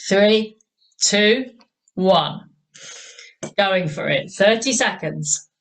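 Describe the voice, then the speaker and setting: A woman with an English accent and vocal fry speaks at a medium pitch and a very slow pace, with ordinary pitch variation and long, frequent pauses. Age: 60s. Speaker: fitness instructor. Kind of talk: exercise class instruction. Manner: encouraging, energetic.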